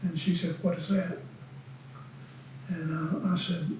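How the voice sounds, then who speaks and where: A man with a high voice and an American accent, speaking at a fairly slow pace with fairly even intonation, some room echo and noticeable background noise. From Western North Carolina (Winston-Salem). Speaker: retired deacon. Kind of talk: oral history interview. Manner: halting.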